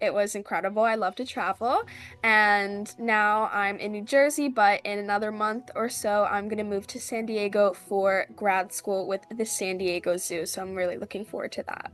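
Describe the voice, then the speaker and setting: Using a normal speaking voice, a woman with an American accent talks at a moderate pace and medium pitch, her intonation fairly even and hardly any pauses between words. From Philadelphia area, US. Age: 20s. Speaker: reality game contestant. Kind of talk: interview. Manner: casual, filler-heavy.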